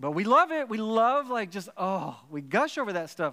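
On a very clean recording with a silent background, a man with a Texan accent speaks with lively intonation. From Texas, Dallas. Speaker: pastor. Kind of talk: sermon. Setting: church stage with audience. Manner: halting, many repeated words.

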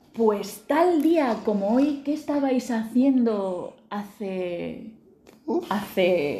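Very slow delivery with lively intonation over noticeable background noise. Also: woman. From Murcia, Spain. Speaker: podcast host. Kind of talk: casual chat.

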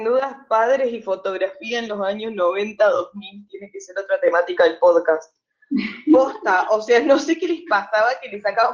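Her speaking voice is unremarkable and fairly high for a woman. She talks at a fairly slow pace. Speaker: podcast co-host. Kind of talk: casual chat.

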